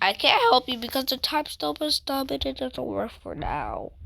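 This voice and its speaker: A female-sounding voice puts on a character voice, pitched high. The pace is moderate. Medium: machinima.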